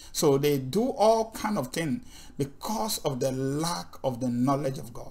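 A man speaks at a fairly slow pace, his voice somewhat breathy. His pitch swings very widely. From Nigeria. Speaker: Bible teacher. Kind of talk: sermon. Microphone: webcam.

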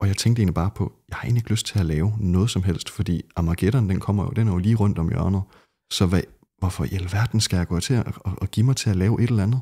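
Against a quiet background, a somewhat breathy voice moves at a very fast pace with ordinary pitch variation. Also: man. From Denmark, Skive; Denmark. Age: young. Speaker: ex-Jehovah's Witness, never baptized; Witness. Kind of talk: podcast interview. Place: home room. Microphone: studio mic.

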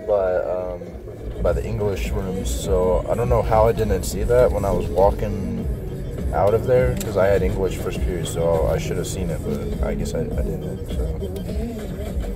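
A man talks at a fairly slow pace over loud music in the background. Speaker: passenger vlogger. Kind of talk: casual vlog chat. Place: car. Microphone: phone near.

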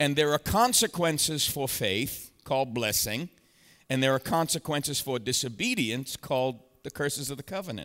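The background is quiet. A man talks at a moderate pace, his pitch varying in an ordinary way. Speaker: preacher. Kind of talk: sermon. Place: church. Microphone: headset.

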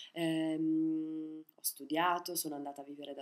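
Over a quiet background, a woman talks at a fairly low pitch and moderate pace with ordinary pitch variation. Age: 20s. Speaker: comic actress. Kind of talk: video diary testimony; video diary, personal account. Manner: halting. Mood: reflective, calm. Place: home room. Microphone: webcam.

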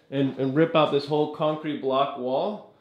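A man talks at a moderate pace with audible room echo. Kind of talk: casual home tour commentary. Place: bathroom. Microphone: phone near.

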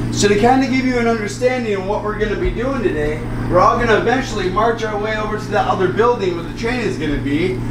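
Noticeable background noise sits behind a man who talks at a very fast pace with hardly any pauses. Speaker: mine tour guide. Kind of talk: guided tour talk. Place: street.

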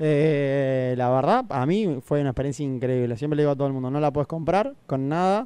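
A man's fairly high voice at a fairly quick pace, with ordinary pitch variation and a dry sound with no echo. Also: hardly any pauses. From Argentina, Necochea; Argentina. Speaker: airline pilot; radio guest. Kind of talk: casual chat. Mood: relaxed, cheerful. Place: studio. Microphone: studio mic.

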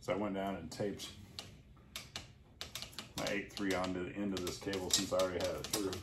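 With audible room echo, a man talks at a fairly quick pace in a low pitch that shows little movement.

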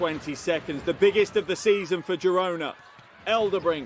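Over loud background noise, a man raises and projects his voice, the sound dry with no echo. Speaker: basketball commentator. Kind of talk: live sports commentary over game highlights. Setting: broadcast voiceover.

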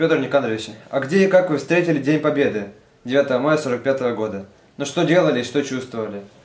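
A man at a fairly high pitch, with ordinary pitch variation and a moderate pace, over noticeable background noise. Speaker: interviewer. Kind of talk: interview.

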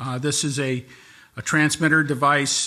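Fairly slow, a man speaks. His intonation stays fairly even. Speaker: presenter. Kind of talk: formal presentation of regulations. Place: hall. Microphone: podium.

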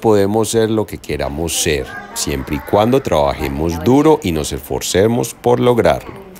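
A man's very deep, low voice at a fairly slow pace, with light background noise. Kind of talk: casual vlog tour narration. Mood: excited and proud. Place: hall. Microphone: phone near.

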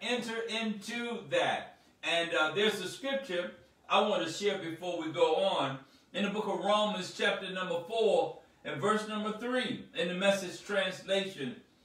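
A man speaks with a high pitch and ordinary pitch variation. Room echo is audible. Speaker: speaker. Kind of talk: sermon. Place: home room.

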